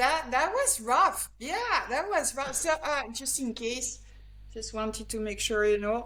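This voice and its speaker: Noticeable background noise and audible room echo accompany a woman speaking at a fairly slow pace. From France, the Alps. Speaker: grip sport athlete and trainer. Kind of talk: interview.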